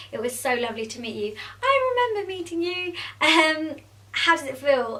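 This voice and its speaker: A woman speaks in a London accent with lively intonation. Her moderate-paced speech has audible room echo. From England. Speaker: beauty vlogger and makeup artist. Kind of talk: casual Q&A vlog. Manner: chatty, with many fillers.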